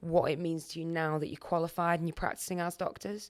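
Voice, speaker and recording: Very fast, monotone delivery with flat intonation, on a very clean recording with a silent background. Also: woman. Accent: Merseyside. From Wirral, Merseyside, England. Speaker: junior doctor, podcast host. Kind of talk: casual podcast chat.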